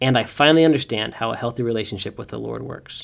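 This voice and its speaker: Very fast speech comes from a man with an American accent and a medium pitch, his pitch varying in an ordinary way. The recording is very clean with a silent background. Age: 30s. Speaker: pastor. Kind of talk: casual interview.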